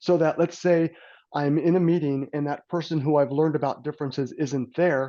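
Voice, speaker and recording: A man has a plain, everyday voice at a fairly high pitch. He talks at a fairly quick pace with fairly even intonation. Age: 60s. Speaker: personality assessment consultant. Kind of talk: podcast interview.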